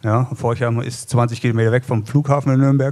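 Over a quiet background, a man with a medium-pitched, dark and mellow voice talks at a moderate pace in a flat monotone. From northeastern Germany, Rostock; northeastern Germany. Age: 50s. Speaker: cycling coach and former pro cyclist; cycling coach. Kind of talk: live podcast interview. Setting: live recording in a pizzeria with audience. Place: cafe. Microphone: studio mic.

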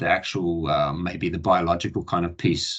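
Here a man speaks at a very deep, low pitch with a bright, sharp tone. He has a slight New Zealand accent. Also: quiet background. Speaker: Olympic volleyball coach. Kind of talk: online presentation. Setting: online video session. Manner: halting, many fillers.

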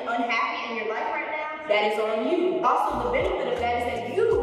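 A high-pitched woman at a fairly quick pace amid strong room echo and noticeable background noise. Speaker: fitness creator. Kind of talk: casual vlog chat. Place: gym.

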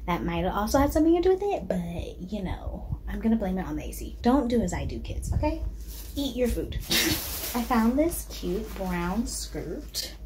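Moderate-paced speech with noticeable background noise. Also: woman. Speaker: vlogger. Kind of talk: casual vlog chat. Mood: relaxed, playful. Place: home room. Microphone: phone near.

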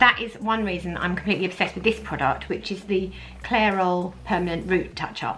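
A woman speaks at a fairly quick pace with a bright, sharp tone. Her pitch varies in an ordinary way. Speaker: beauty vlogger. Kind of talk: casual vlog chat. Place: home room.

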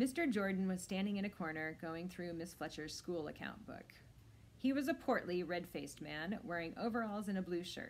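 What comes through is an unforced reading voice.

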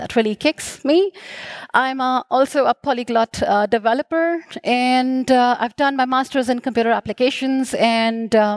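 Spoken at a moderate pace with ordinary pitch variation, the voice has a dry sound with no echo over a quiet background. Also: woman, high pitch for a woman. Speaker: conference speaker. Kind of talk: conference talk. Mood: friendly, slightly hurried. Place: stage. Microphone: headset.

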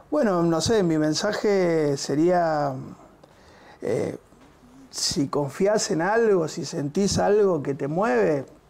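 At a very slow pace, a man speaks with a fairly high pitch and lively intonation. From Argentina, Buenos Aires area (Quilmes); Argentina. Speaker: musician, bassist and music school director; teacher, interview guest. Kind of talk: interview. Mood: relaxed, warm. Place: studio. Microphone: lapel.

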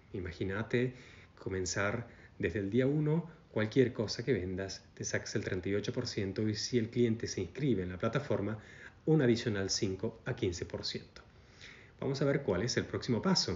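Here a man speaks at a medium pitch with lively intonation. His voice is somewhat breathy and his pace fairly slow. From Argentina. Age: 40s. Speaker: network marketing recruiter; presenter. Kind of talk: sales pitch. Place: home room. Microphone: phone near.

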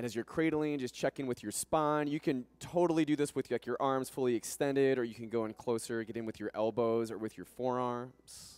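Over a dry sound with no echo, a man speaks at a fairly quick pace with hardly any pauses and ordinary pitch variation. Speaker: yoga instructor. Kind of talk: guided yoga class, calm step-by-step cueing and breath instruction. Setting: yoga studio class. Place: gym. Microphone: headset.

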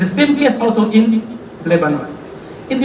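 Audible room echo and light background noise accompany a man with high pitch speaking at a moderate pace. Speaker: guest. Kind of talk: speech. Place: hall.

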